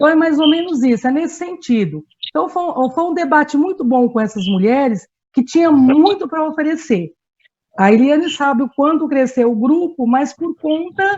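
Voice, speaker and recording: A woman speaks with lively intonation at a high pitch. Her pace is moderate. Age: 60s. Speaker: community activist. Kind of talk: panel talk. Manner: halting, with frequent fillers.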